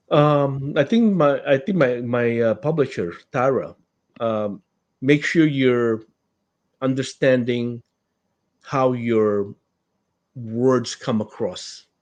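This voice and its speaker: In a non-native accent, a man with medium pitch and ordinary pitch variation speaks at a very slow pace with long, frequent pauses. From Philippines. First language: not English. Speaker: author. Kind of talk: interview. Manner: halting.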